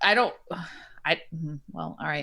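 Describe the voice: A woman talks at a fairly slow pace. Her tone is bright and sharp.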